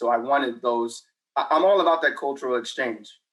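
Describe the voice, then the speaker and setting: A man speaks with an American accent at a moderate pace. His pitch sits in the medium range. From Texas. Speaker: author, military veteran and teacher. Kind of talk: interview.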